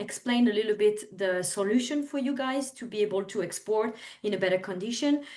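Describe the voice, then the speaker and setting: A woman's fairly high voice with a strong French accent. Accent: thick French. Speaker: overseas trade representative. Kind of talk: webinar presentation. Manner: halting, many fillers.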